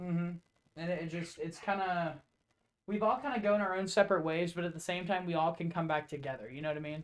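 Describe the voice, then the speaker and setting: A man talks loudly and very fast. His pitch is high. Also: ordinary pitch variation. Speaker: podcast host. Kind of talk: casual chat.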